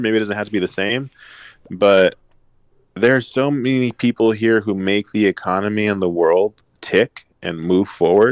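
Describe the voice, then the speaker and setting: A man's ordinary speaking voice with an American accent, fairly low pitch, ordinary pitch variation, a moderate pace, and a dry, close sound with no echo. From Los Angeles, US. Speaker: realtor. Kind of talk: casual chat.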